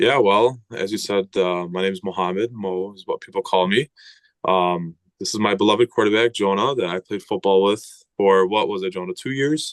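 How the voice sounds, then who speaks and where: An ordinary speaking voice: a man with a fairly low pitch, ordinary pitch variation and a moderate pace. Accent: American. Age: 20s. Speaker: former high school football lineman. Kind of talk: casual podcast interview.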